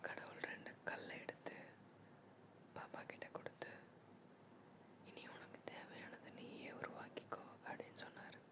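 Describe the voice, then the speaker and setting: Whispering, a woman is heard with noticeable background noise around her. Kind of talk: sleep story.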